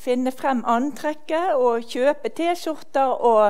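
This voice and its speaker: A woman is speaking. She goes at a very slow pace. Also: quiet background. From Norway. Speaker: event organizer introducing the speaker. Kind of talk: welcome introduction at event. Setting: stage with audience.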